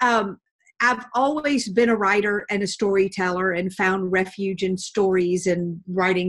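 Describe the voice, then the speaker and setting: A woman with a Southern accent speaks at a medium pitch with ordinary pitch variation. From US South, Georgia. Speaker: professional storyteller and speaker. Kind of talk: interview.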